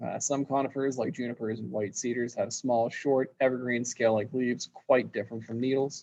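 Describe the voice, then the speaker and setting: With monotone, flat intonation, a man at a medium pitch speaks at a fairly quick pace with hardly any pauses. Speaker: landscape design teacher. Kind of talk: lecture. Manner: halting with fillers.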